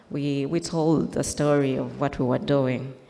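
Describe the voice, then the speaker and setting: Audible room echo surrounds a woman's voice. She speaks at a very deep, low pitch and a fairly slow pace. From Uganda. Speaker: interventional radiologist. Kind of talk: conference talk. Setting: stage with slides.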